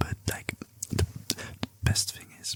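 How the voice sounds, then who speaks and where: Whispering at a fairly slow pace, a man speaks over noticeable background noise. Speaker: ASMR creator. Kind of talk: casual talk to camera.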